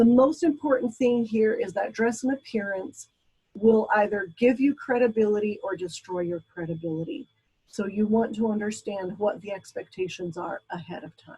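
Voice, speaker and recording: A woman's somewhat breathy, dark, mellow voice at a fairly high pitch, with lively intonation and a moderate pace. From Brazil. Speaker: college instructor. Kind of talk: lecture. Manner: hesitant, many fillers.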